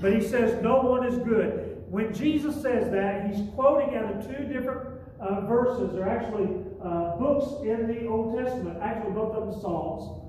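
Amid strong room echo and light background noise, a man speaks at an extremely high pitch. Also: ordinary pitch variation, moderate pace. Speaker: pastor. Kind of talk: sermon. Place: church. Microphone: camera far.

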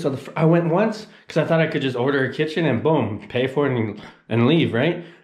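Audible room echo surrounds a man speaking with ordinary pitch variation over a quiet background. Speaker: travel vlogger. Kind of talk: casual vlog chat. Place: home room. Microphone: phone near.

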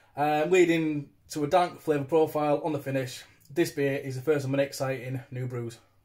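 Over a quiet background, a man speaks at a fairly quick pace in a somewhat breathy voice. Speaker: beer reviewer. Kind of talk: casual vlog chat. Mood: cheerful, relaxed. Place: home room. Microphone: phone near.

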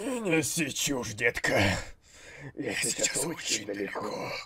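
A man with a fairly high pitch speaks at a fairly slow pace. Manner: creepy, demanding.

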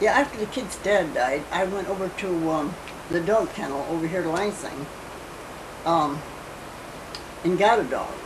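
A woman's fairly low voice with an American accent, at a moderate pace broken by long, frequent pauses, over noticeable background noise. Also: ordinary pitch variation. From US Midwest. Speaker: grandmother telling family history. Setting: home interview, family video recording. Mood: calm, reminiscing, sometimes amused. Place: home room. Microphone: old recording.

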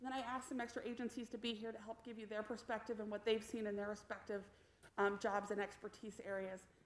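A woman speaks at a very fast pace in a monotone, flat intonation. Room echo is audible. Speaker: presenter. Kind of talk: meeting presentation.

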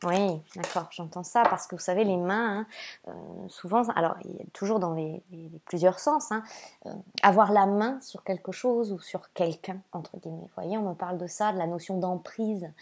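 A woman speaks at a medium pitch with ordinary pitch variation. Her pace is moderate, and her loudness swings widely. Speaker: spiritual guide and oracle card reader. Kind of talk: oracle card reading monologue to viewers. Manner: hesitant, frequent fillers and repeated words; warm and gentle.

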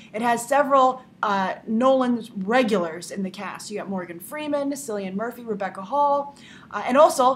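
The voice moves at a moderate pace with lively intonation. Noticeable background noise runs underneath. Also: woman. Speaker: movie news show host. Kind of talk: news commentary to camera. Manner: hesitant, many fillers.

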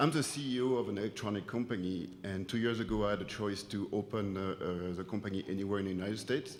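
Amid audible room echo, a man with a French accent talks at a very fast pace, his fairly low pitch showing ordinary variation. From France. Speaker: business owner speaking at public comment. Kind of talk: public comment at town hall. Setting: auditorium meeting.

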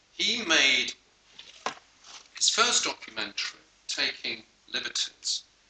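Audible room echo and light background noise surround the recording. A man speaks very slowly, with long, frequent pauses. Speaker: lecture series host. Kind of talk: introduction of a guest speaker. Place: hall.

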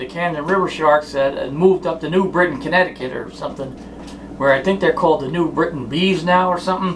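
Speech comes at a very fast pace in an American accent, with ordinary pitch variation. Noticeable background noise runs underneath. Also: man, high pitch for a man. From South Jersey, US; New Jersey. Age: 40s. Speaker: sports memorabilia vlogger. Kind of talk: casual monologue. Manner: rambling, hesitant with fillers. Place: home room. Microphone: phone near.

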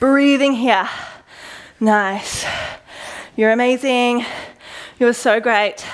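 Her intonation fairly even, a woman with a high voice speaks very slowly. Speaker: fitness instructor. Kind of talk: workout coaching cues. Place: gym. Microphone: headset.

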